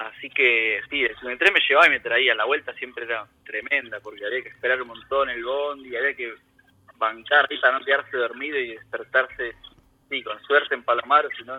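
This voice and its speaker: Speaking at a moderate pace, a man lets his loudness swing widely. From Argentina, Buenos Aires province (San Martín). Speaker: emigrant gardener. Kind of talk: casual interview. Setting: remote call from home.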